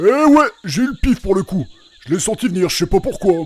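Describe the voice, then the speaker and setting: Moderate in pace, this put-on character voice is delivered evenly in speed. Its pitch swings very widely. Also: man, high pitch for a man. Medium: audio drama. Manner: teasing, jokey.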